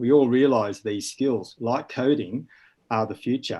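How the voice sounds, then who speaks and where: A man with an Australian accent speaks at medium pitch. His pace is moderate against a quiet background. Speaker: school educator. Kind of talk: panel discussion.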